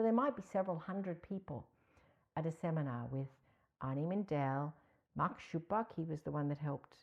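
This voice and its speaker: With an American accent, a woman talks at a fairly quick pace in a very deep, low pitch and a warm tone, leaving long, frequent pauses. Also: lively intonation. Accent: American-sounding. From mixed Australia (Canberra) and US (Ohio). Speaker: psychotherapy trainer. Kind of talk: podcast interview. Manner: warm, conversational.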